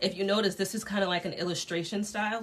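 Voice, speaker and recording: A woman with an American accent talks at a fairly quick pace against noticeable background noise. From Connecticut. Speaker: dress designer teaching a sketching class. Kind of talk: online class tutorial. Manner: fast; casual, with many fillers.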